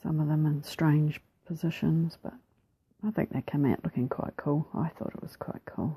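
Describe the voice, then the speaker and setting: In a New Zealand accent, a woman with a very deep, low pitch speaks in a somewhat breathy, dark, mellow tone, the sound dry and close with no echo. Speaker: mixed media artist. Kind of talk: art process tutorial voiceover. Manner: casual, hesitant.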